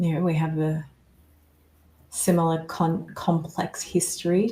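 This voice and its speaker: In an Australian accent, the voice is somewhat breathy with a dark, mellow tone, fairly even intonation, and long, frequent pauses. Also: woman. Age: 40s. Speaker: survivor coach and author. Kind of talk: interview testimony.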